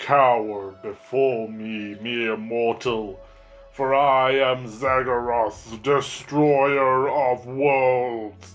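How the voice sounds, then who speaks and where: In a put-on character voice with a menacing tone, a man speaks at a very slow pace and medium pitch while faint music plays in the background. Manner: booming, menacing.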